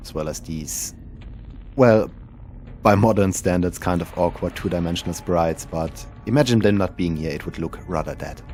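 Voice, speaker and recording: A man with a very deep, low pitch and ordinary pitch variation, at a moderate pace, music in the background. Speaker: indie game developer. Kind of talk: game developer commentary.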